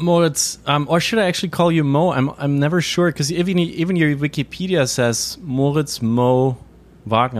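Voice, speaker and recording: A man with a German accent at a fairly quick pace, his loudness very even and his pitch varying in an ordinary way. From Germany. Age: 30s. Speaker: podcast host and journalist. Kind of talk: interview. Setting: video call.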